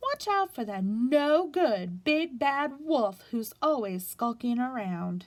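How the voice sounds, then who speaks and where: A woman speaks in a high-pitched, put-on character voice. Her delivery is fairly slow, with hardly any pauses. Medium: read story.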